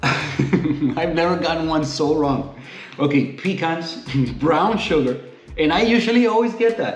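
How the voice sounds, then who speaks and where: In a relaxed tone, a man with a fairly high pitch speaks at a fairly slow pace with lively intonation, amid audible room echo and noticeable background noise. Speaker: coffee reviewer. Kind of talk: casual product review. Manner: relaxed, conversational.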